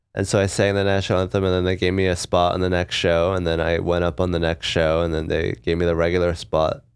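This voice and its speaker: Very fast and with hardly any pauses, a man with a West Coast accent talks at a very deep, low pitch in a flat monotone, on a very clean recording with a silent background. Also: very even loudness. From Seattle, US. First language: Korean. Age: 30s. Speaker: stand-up comedian. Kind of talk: casual interview chat.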